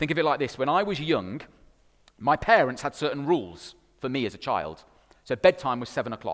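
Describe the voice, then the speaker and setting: A man at a fairly high pitch, fairly quick pace and lively intonation, with vocal fry and long, frequent pauses. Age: 30s. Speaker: pastor. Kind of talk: sermon.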